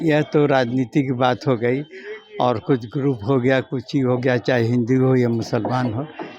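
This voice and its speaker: Over music in the background, a man talks at medium pitch with fairly even intonation. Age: old. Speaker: elderly local devotee. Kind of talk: street interview.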